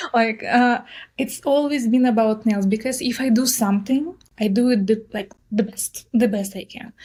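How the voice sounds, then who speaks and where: A speaker with a strong Russian accent talks at a moderate pace in a dark, mellow tone with fairly even intonation. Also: woman, fairly high pitch for a woman. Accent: heavy Russian. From southern Russia. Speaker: nail artist and influencer. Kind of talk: interview. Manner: direct.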